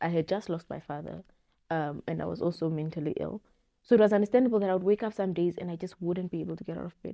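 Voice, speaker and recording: Speaking at a very fast pace, a woman with a fairly low pitch shows ordinary pitch variation and big swings in loudness. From Namibia. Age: young. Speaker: media professional. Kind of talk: podcast interview answer. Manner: candid.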